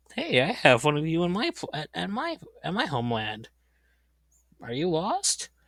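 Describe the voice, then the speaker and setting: A man performs a put-on character voice, pitched fairly high. He keeps a moderate pace with long, frequent pauses. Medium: solo performance.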